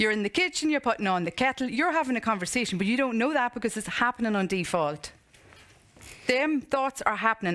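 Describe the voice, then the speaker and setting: A woman with a fairly high pitch talks at a fairly quick pace. Her tone is animated and her intonation lively. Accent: Irish. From Ireland, County Monaghan. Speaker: motivational speaker and coach. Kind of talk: conference talk with Q&A. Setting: stage with audience.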